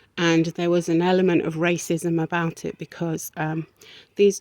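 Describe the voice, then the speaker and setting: Speaking with an English accent, a woman uses a fairly low pitch at a fairly slow pace. The sound is dry and close, with no echo. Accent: sounds English-born. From South America, raised in England. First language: Spanish. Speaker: video blogger. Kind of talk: personal vlog monologue. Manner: hesitant, many fillers.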